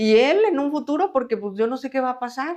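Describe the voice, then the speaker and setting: This woman talks at a moderate pace with ordinary pitch variation. She has an unremarkable speaking voice. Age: 60s. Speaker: mother of a son with schizophrenia, interviewee. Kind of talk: personal testimony interview.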